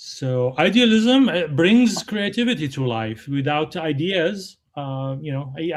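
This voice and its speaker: A man with a non-native accent. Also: very clean recording, silent background. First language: not English. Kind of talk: casual discussion. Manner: halting, many fillers.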